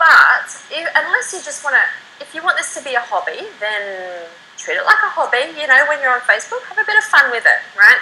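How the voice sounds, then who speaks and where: The voice is raised and projected, moving at a fairly quick pace with very wide pitch swings. Loudness shifts greatly, and background noise is noticeable. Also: woman, high pitch for a woman. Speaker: internet marketer. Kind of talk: interview. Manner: fast; animated.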